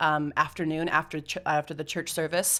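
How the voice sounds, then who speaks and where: A woman with an American accent has an ordinary speaking voice, fairly low in pitch. She talks at a fairly quick pace. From United States. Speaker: mission organisation staff member. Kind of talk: podcast interview. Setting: studio.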